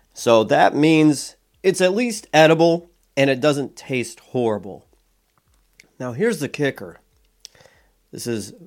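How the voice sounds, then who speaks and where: A man speaks at a fairly slow pace, with long, frequent pauses. His pitch swings very widely and his loudness rises and falls in big swings. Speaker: food reviewer. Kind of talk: casual product review.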